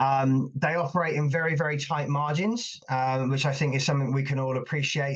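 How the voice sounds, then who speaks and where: With a quiet background, a man talks at a fairly quick pace in a fairly high, somewhat breathy voice with fairly even intonation. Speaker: invited speaker on risk management. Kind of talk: webinar presentation. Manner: fast; many fillers and repetitions.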